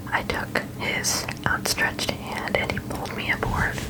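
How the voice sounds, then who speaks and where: Whispering from a woman, noticeable background noise behind it. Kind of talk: ASMR storybook reading.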